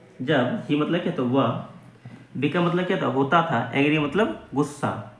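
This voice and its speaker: Over noticeable background noise, a man with a fairly high pitch speaks at a moderate pace, with ordinary pitch variation and very even loudness. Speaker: English teacher / language learning YouTuber. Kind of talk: English lesson, word-by-word translation and grammar explanation.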